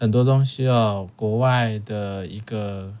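Recorded very cleanly against a silent background, a man talks at a very slow pace with ordinary pitch variation. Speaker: podcast host. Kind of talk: casual chat.

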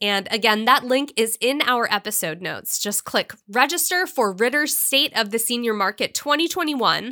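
Her fairly high pitch and bright, sharp tone carry lively intonation as the woman speaks at a moderate pace, the sound dry and close with no echo. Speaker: podcast host. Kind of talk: scripted news roundup. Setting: studio.

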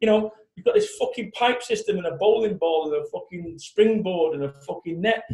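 A man with a Mancunian accent at a fairly quick pace. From Manchester, England. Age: 40s. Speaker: motivational business speaker. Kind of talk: interview. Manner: animated.

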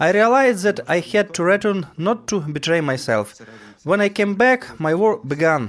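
In a Ukrainian accent, a man speaks at a moderate pace. His high voice has lively intonation. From Ukraine, Poltava region. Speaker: soldier. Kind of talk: testimony.

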